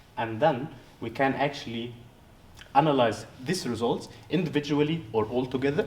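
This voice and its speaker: Amid audible room echo, a man with an Arabic accent talks at a moderate pace and a medium pitch. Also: ordinary pitch variation. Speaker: researcher. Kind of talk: poster presentation interview. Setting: conference poster session. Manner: halting, many fillers and restarts.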